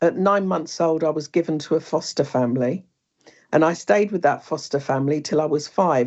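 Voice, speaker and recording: This woman has a British accent. Her pitch is fairly low, with ordinary variation. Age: 60s. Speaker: bereaved mother and speaker. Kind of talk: personal testimony in interview. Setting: online wellbeing session.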